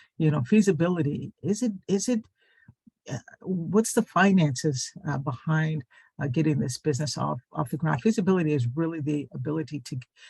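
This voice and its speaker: Recorded with a dry, close sound and no echo, a man talks at a fairly quick pace, his fairly high pitch carrying lively intonation. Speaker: small business adviser. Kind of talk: webinar presentation. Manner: halting, many fillers.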